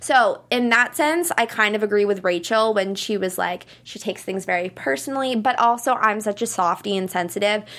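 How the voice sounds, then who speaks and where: Talking at a moderate pace with hardly any pauses, a woman with an unremarkable speaking voice uses lively intonation at a fairly high pitch. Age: 20s. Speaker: TV aftershow panelist. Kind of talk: casual chat; reading aloud.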